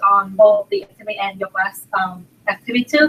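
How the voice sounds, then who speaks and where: A woman with a Vietnamese accent speaks at a fairly quick pace, her pitch fairly high with ordinary variation. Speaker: graduate student. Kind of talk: casual interview. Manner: halting.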